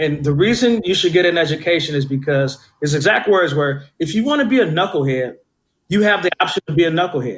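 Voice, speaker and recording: A man speaks with an American accent in a plain, everyday voice. His pitch sits fairly high, with ordinary variation. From Oakland, California (East Oakland). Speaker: community mentor, professional. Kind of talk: interview conversation.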